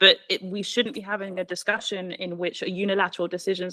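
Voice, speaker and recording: A woman with a British accent, fairly low in pitch, at a very fast pace in a monotone, flat intonation. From Britain. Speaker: panelist, civil society advocate. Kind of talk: panel discussion.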